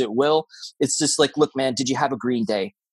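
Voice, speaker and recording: A man with an American accent and an ordinary speaking voice talks fairly quickly at a fairly high pitch with ordinary pitch variation. The sound is dry and close, with no echo. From Florida. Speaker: podcast host. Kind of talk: casual chat.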